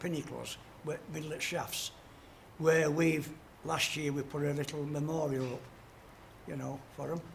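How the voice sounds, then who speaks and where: Fairly high, monotone male voice with a South Yorkshire accent at a fairly slow pace, plus audible room echo and noticeable background noise. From Yorkshire, Doncaster area. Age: 70s. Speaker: retired coal miner. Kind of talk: casual interview. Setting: portrait sculpting session.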